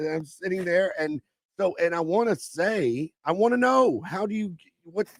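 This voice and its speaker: In a Kentucky accent, a high-pitched man speaks at a moderate pace with an animated tone and lively intonation, the sound dry and close with no echo. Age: 50s. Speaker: comedian. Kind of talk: casual chat.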